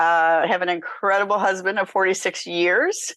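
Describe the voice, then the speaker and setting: At a fairly slow pace, a woman speaks at a medium pitch in a plain, everyday voice. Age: 60s. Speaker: nonprofit founder and author. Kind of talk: interview.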